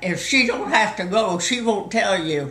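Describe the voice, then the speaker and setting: A woman with a Southern US accent speaks with lively intonation, amid noticeable background noise and audible room echo. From US South. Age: 90s. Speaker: storyteller. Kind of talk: casual chat.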